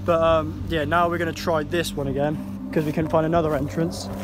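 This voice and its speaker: At a fairly quick pace, the voice sounds dry with no echo while music plays in the background. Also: man. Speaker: vlogger filming friends. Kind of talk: casual vlog chat. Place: open country. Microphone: phone near.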